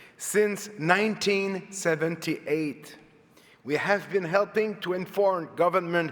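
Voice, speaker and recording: A man talks at a fairly slow pace with a Quebec accent. His voice is high, with fairly even intonation. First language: French. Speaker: public agency head, lawyer. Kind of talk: formal speech. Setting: conference stage with audience. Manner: reading from notes.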